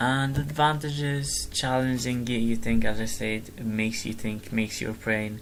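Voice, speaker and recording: A man with an Arabic accent speaks at a moderate pace with hardly any pauses and fairly even intonation, over noticeable background noise and audible room echo. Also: medium pitch for a man. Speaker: gamer vlogger. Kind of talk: casual explanation of a presentation. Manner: halting, many fillers and restarts.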